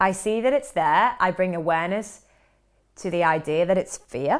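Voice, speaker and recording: The speech moves at a fairly slow pace in a very clean recording with a silent background. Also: woman. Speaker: performance coach and podcast host. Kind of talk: solo podcast monologue.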